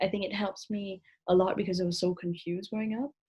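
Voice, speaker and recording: A woman of medium pitch talks at a moderate pace with fairly even intonation. Her voice is somewhat breathy. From Vietnam. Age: 20s. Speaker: author. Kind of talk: casual chat.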